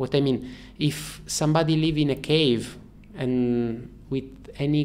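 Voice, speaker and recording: A man speaks with an Italian accent over light background noise. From Italy, Turin. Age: 40s. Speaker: freediver. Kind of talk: interview. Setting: in person. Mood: calm, thoughtful. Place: studio. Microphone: studio mic.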